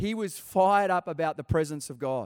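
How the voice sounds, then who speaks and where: Recorded dry and close with no echo, a man with an Australian accent talks at a high pitch. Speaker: pastor. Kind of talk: sermon. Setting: church. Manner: animated.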